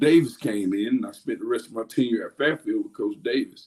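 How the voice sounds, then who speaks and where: A man speaks at a moderate pace with an Alabama accent. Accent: US Southern (Alabama). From Alabama, near Dothan. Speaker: high school football coach. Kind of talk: podcast interview. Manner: loud; halting, many fillers.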